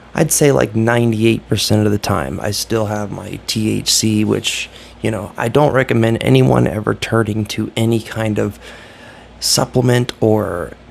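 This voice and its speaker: Over noticeable background noise, a man with an American accent talks at a moderate pace, his fairly low pitch carried by lively intonation. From Ohio, US Midwest. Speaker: YouTuber vlogger. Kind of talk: casual vlog monologue. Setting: hotel room. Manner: subdued, keeping voice down; halting, many fillers.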